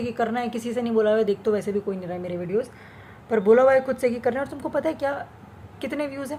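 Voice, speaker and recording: Lively in intonation, a woman speaks at a high pitch. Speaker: vlogger. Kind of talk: casual monologue vlog. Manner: animated. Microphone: speaking without the usual mic.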